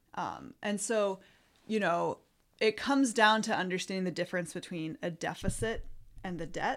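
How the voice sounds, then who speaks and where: On a very clean recording with a silent background, a woman speaks. Her pace is moderate and her pitch variation ordinary. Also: medium pitch for a woman. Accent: American. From US Midwest, Illinois. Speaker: economics professor. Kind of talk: explanatory interview.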